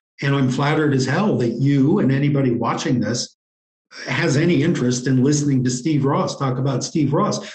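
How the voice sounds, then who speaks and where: The speaker has a normal speaking voice with an American accent. The pace is fairly quick. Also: man. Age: 60s. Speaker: interview guest, writer. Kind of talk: interview.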